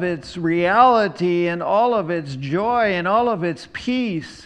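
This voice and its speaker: With lively intonation, a man speaks at a very slow pace amid audible room echo. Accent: American. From US Midwest, eastern Iowa. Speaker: pastor. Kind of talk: sermon.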